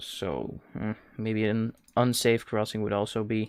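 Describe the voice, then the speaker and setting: A man with a Dutch accent talks at a fairly slow pace with fairly even intonation. The recording is very clean, with a silent background. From Netherlands. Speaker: video game streamer. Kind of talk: live-stream gameplay commentary. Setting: live stream. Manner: hesitant, with many fillers.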